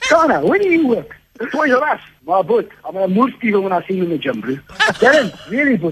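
Fairly quick delivery with very wide pitch swings over noticeable background noise. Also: man, high pitch for a man. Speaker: prank call victim. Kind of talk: heated argument on phone. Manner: aggressive, combative.

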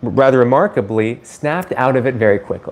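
A man's lively intonation at a moderate pace. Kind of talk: live stream educational talk. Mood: cheerful, laughs at times. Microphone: phone near.

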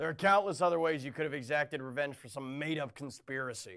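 A man's gruff, fairly high put-on character voice at a very fast pace, with big swings in loudness. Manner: blunt, macho, gruff.

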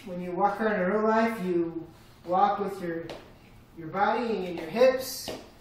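Over light background noise and with audible room echo, a man speaks at a moderate pace in a high pitch with ordinary pitch variation. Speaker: VR gamer. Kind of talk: gameplay commentary. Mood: scared, nervous laughter. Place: home room. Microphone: camera far.

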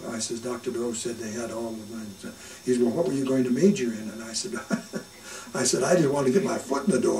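A man talking very fast with ordinary pitch variation, audible room echo and light background noise. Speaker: oral history interviewee. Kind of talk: oral history interview answer. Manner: humorous, humble storytelling. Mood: warm, amused, smiling. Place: home room.

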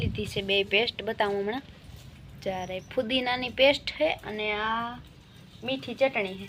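Fairly high and fairly even in intonation, a woman's voice comes through. There is noticeable background noise. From Saurashtra, Gujarat. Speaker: village vlogger. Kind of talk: casual vlog narration.

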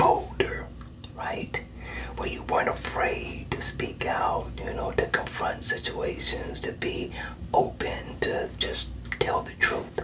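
The words come in a whisper, delivered very slowly. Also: man. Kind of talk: counseling session talk to a client. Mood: calm, encouraging. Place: office. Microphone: webcam.

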